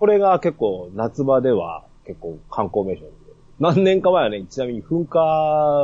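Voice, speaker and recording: A man's voice comes across with a dark, mellow tone. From Yamagata. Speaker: podcast host guest. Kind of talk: casual chat.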